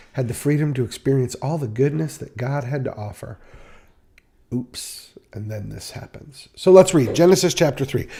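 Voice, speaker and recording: A man with a dark, mellow, somewhat breathy tone speaks at medium pitch and a moderate pace. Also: big swings in loudness. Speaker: Bible study teacher. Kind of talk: Bible study. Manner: casual, playful.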